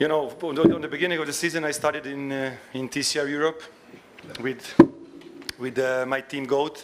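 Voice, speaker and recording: Over noticeable background noise, a man with a fairly high pitch talks at a fairly quick pace in a monotone, flat intonation, with long, frequent pauses. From Serbia. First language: Serbian. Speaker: racing driver. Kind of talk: press conference. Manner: halting.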